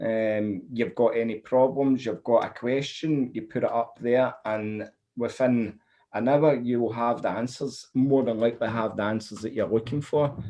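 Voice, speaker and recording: The speaker uses a Scottish accent, keeping a moderate pace and fairly even intonation. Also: man, medium pitch for a man. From Scotland. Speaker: funnel builder. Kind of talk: interview.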